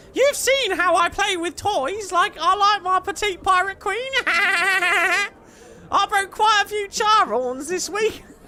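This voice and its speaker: In a put-on character voice with an extremely high pitch, the speaker talks at a fairly slow pace in a playful tone over light background noise. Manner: playful character voice.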